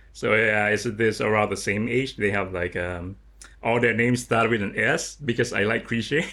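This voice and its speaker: Speaking with a Lao accent, a man uses a fairly low pitch, a bright, sharp tone, fairly even intonation and a moderate pace. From Laos. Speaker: artist. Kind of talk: interview.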